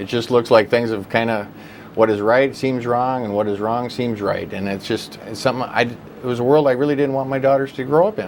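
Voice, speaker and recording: Talking at a fairly quick pace with a North Dakota accent, a man uses a medium pitch and fairly even intonation over noticeable background noise. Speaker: political candidate. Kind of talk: interview.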